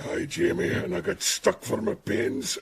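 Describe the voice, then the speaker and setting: Using a put-on character voice, a man sounds raspy. His pitch is medium and his pace moderate. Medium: audio drama.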